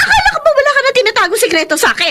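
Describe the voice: A woman speaks in a put-on character voice, extremely high-pitched, with a bright, sharp tone, big pitch swings and a very fast pace.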